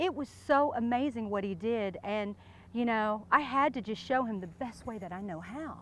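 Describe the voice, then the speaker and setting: Her high-pitched voice moves at a moderate pace with lively intonation, and the woman's sound is dry with no echo. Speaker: interviewee. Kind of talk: playful mock interview monologue. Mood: playful, teasing.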